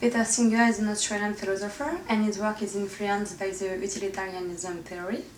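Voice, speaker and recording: A woman at medium pitch with a French accent, fairly even intonation and a fairly quick pace, over noticeable background noise. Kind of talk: educational presentation narration.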